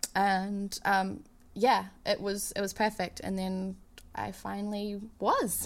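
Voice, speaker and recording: A woman speaks with a New Zealand accent at medium pitch. Her intonation is monotone and flat, and her pace is very slow. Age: 30s. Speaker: touring keyboardist and singer. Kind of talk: casual interview.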